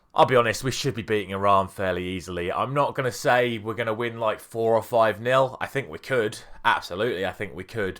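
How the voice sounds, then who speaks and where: A man with an English accent speaks at a fairly quick pace and medium pitch, using ordinary pitch variation and hardly any pauses. The recording is very clean, with a silent background. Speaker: football YouTuber. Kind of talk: casual talk to camera.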